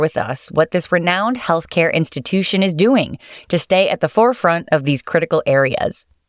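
A normal speaking voice from a woman, fairly low-pitched with lively intonation at a moderate pace, recorded dry and close with no echo. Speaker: podcast host. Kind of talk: scripted intro and outro narration. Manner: formal.

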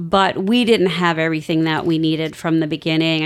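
There is noticeable background noise as a woman speaks with an American accent at a fairly low pitch. Her intonation is fairly even. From Northern Virginia. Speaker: respiratory therapist. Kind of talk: interview.

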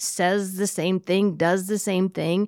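A woman with an American accent and a normal speaking voice, at medium pitch and a moderate pace, fairly even in intonation, dry and close with no echo, on a very clean recording with a silent background. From Iowa. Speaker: podcast host. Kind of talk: casual chat.

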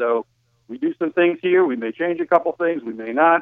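A man talks at a fairly quick pace. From New Jersey. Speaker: hospital physician. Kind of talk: interview. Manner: halting, many fillers.

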